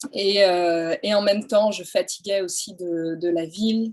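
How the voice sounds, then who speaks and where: The woman's voice sits at a medium pitch with ordinary pitch variation. She speaks at a very slow pace. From France, countryside. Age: 40s. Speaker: photographer. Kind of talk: interview. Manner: hesitant, many fillers.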